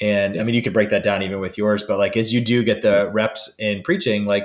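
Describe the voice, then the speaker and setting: An unremarkable speaking voice at a fairly quick pace, on a very clean recording with a silent background. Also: man. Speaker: podcast host. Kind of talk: interview conversation. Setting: call.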